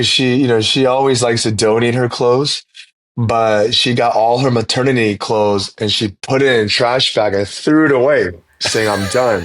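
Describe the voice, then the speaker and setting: An ordinary speaking voice talks with an American accent at a moderate pace. The intonation is fairly even, and the loudness very even. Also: man, medium pitch for a man. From South Korea, grew up on US Army base. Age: 30s. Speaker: pastor and church planter. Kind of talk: podcast interview. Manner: casual, with frequent repetitions.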